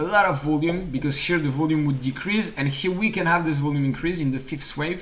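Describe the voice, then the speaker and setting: A man speaks with a French accent at a fairly high pitch, with ordinary pitch variation. Audible room echo surrounds his voice. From France. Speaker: stock trading streamer. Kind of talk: live trading analysis stream.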